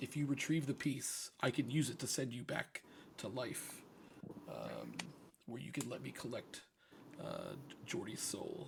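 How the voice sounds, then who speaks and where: Putting on a raspy character voice at a medium pitch, a man talks at a moderate pace with long, frequent pauses. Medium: actual play. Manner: casual, scheming.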